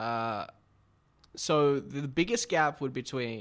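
A man with an Australian accent speaks with ordinary pitch variation. The recording is very clean, with a silent background. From Sydney, northern suburbs. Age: 20s. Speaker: social media creative. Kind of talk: casual chat.

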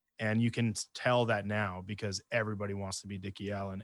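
A man speaks very fast at a fairly low pitch, with monotone, flat intonation. The recording is very clean and dry, with a silent background, a close sound and no echo. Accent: Canadian. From Canada, interior British Columbia. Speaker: metal band vocalist and bassist. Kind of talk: casual interview chat.

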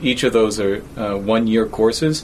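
Male speech with an American accent and fairly even intonation over noticeable background noise. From New York. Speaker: university professor. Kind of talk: interview.

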